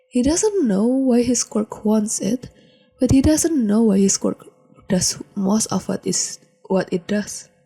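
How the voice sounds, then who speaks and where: Over music in the background, a woman with a fairly high pitch talks at a very slow pace, the sound dry and close with no echo. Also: ordinary pitch variation. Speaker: podfic reader. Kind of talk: fan fiction audiobook reading.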